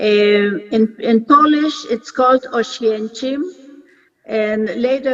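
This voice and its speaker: Very slow in pace, a woman speaks with fairly high pitch and fairly even intonation. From Poland. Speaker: Holocaust survivor. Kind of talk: recorded interview. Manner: halting.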